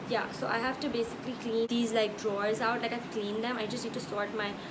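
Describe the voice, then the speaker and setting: Through noticeable background noise and audible room echo, a woman speaks fairly quickly at a fairly high pitch. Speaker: vlogger. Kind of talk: casual vlog. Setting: at home. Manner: loud; animated.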